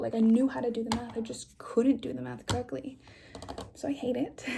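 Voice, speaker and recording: A soft-spoken woman talks at a fairly quick pace. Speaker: ASMR creator. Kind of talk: ASMR what's-in-my-bag chat to camera. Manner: soft-spoken, casual.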